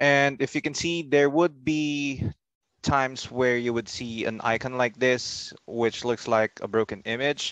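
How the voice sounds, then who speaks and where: An unremarkable speaking voice from a man, medium in pitch, at a fairly slow pace with fairly even intonation, dry and close with no echo, over a quiet background. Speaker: software trainer. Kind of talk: tutorial.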